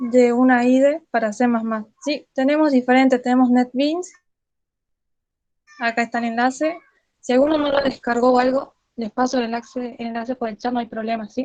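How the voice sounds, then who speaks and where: A woman's high-pitched voice at a moderate pace. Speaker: student tutor leading a study group. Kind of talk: tutorial.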